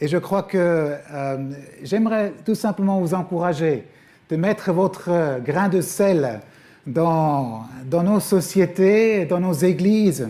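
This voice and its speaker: A man with a Swiss German accent speaks at a very slow pace in a high-pitched voice, his dark, mellow tone carrying ordinary pitch variation and long, frequent pauses. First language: Swiss German (speaking French). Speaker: guest preacher, former missionary. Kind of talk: sermon. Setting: church. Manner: hesitant, many fillers.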